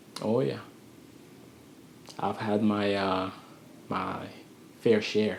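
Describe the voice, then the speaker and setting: Very slow and broken by long, frequent pauses, a man speaks at a fairly low pitch with fairly even intonation in a room with audible echo. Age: 20s. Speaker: vlogger giving life advice. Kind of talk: motivational monologue. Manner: slow and calculated; halting.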